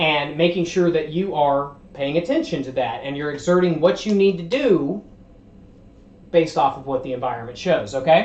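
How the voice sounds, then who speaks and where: A man with a fairly high pitch, ordinary pitch variation, big swings in loudness and a moderate pace, with audible room echo. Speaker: livestreamer teaching self-development ideas. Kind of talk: livestream presentation. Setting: livestream. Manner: conversational, verbose.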